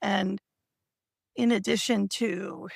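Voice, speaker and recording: With lively intonation and vocal fry, a woman speaks in a dry, close sound with no echo. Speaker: writer and livestream co-host. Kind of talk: casual livestream chat. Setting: online livestream.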